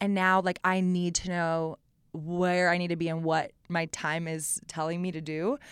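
A woman with an American accent speaks at a fairly low pitch and a moderate pace, her intonation monotone and flat. The recording is very clean, with a silent background. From Austin, Texas. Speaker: business founder. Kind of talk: casual interview.

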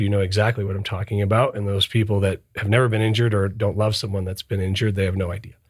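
A man's fairly low, somewhat breathy voice, very fast and monotone with flat intonation, on a very clean recording with a silent background. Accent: American. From US Midwest, Michigan (northern Detroit suburbs). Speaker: lawyer, managing partner. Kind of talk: casual chat.

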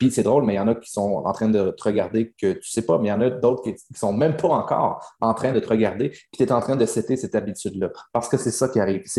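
In a Quebec accent, a man with a dark, mellow tone and medium pitch talks at a very fast pace with hardly any pauses and ordinary pitch variation, on a very clean recording with a silent background. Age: young. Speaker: business coach. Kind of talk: coaching session. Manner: animated.

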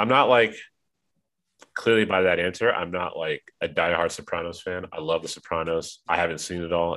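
A man talks at a fairly quick pace in a low, nasal voice with a fairly bright tone and fairly even intonation.

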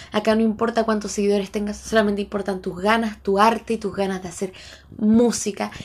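A woman's somewhat breathy voice with a Chilean accent, monotone, flat intonation and a fairly quick pace. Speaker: podcast host and street singer. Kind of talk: casual monologue.

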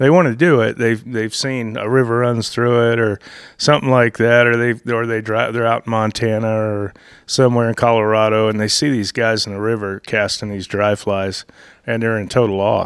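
Here a man talks in an Appalachian accent at a moderate pace. His pitch is medium and his intonation fairly even. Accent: Southern Appalachian American. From US South, North Georgia mountains. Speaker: fly shop owner and fishing guide. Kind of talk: casual interview. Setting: in a fly shop.

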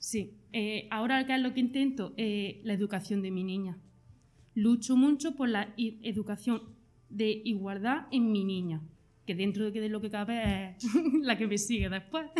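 With an ordinary speaking voice, a woman speaks at a fairly slow pace in a fairly high pitch, her pitch varying in an ordinary way. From Jaén, Andalusia. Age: 30s. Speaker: hospitality worker. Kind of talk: interview.

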